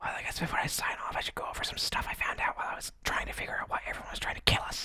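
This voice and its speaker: A man whispers at a very fast pace. Noticeable background noise is present. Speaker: radio show host and voice actor playing a bunker radio host character. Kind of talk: post-apocalyptic radio broadcast, audio drama. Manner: whispered, annoyed, sarcastic.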